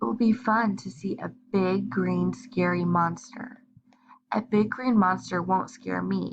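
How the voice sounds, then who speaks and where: In a put-on character voice that is both raspy and squeaky, the speaker talks at a middle pitch and a fairly slow pace. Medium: read story.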